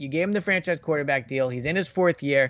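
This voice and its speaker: A normal speaking voice from a man, fairly high in pitch, with ordinary pitch variation. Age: 30s. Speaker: NFL reporter and podcast host. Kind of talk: casual chat.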